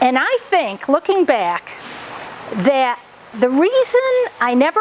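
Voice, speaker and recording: Speaking at a fairly slow pace, a woman with a high voice swings her pitch very widely over noticeable background noise. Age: 60s. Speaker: gym member. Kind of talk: testimony.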